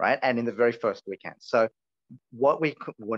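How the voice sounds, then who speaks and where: A man with an Australian accent and a medium pitch talks at a fairly quick pace in a dry, close recording with no echo. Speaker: campaign organizer. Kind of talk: online meeting presentation. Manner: animated.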